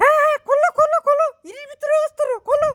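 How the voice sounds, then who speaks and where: A squeaky, put-on character voice sits at an extremely high pitch. It moves at a fairly quick pace. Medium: comedy sketch. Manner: blustering.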